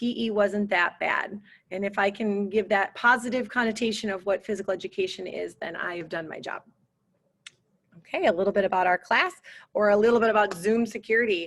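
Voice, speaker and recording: Here a woman talks at a fairly quick pace. Her pitch sits in the medium range. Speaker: PE teacher. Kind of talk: school open house presentation. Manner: fast; animated.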